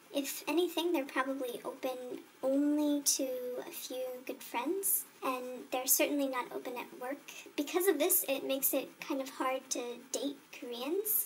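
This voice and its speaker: A woman's high-pitched voice at a moderate pace with ordinary pitch variation, against noticeable background noise. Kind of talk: interview answer.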